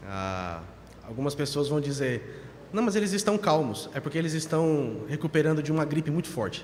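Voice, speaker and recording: This man has a fairly high-pitched voice and lively intonation. He talks at a moderate pace, and there is audible room echo. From Brazil, São Paulo. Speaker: pastor. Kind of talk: sermon. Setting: church.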